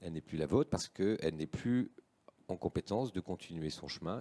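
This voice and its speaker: A man's dark, mellow tone carries lively intonation in a dry, close sound with no echo. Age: 60s. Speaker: association president and entrepreneur. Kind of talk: live panel talk. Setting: live-streamed panel on set.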